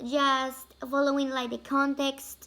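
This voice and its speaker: A woman's high-pitched voice has a bright, sharp tone, monotone, flat intonation and a very slow pace. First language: Spanish. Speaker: language student. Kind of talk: class presentation. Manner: halting, many fillers.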